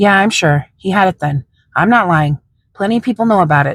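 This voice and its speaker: A female-sounding, put-on character voice comes through raspy at a middle pitch and a fairly quick pace. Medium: read story.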